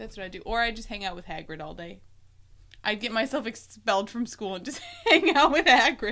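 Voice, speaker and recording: The speaker talks at a moderate pace with lively intonation while noticeable background noise plays. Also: woman. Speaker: podcast co-host. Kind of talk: casual chat.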